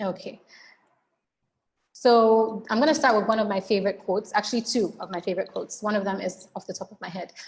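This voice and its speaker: A woman with a fairly high, somewhat breathy voice talks very fast over a quiet background, her loudness swinging widely while her intonation stays fairly even. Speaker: webinar presenter. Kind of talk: webinar presentation. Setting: online webinar.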